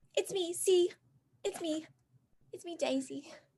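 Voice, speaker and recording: A woman uses a put-on character voice that is squeaky and extremely high in pitch. She keeps a moderate pace with ordinary pitch variation. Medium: actual play.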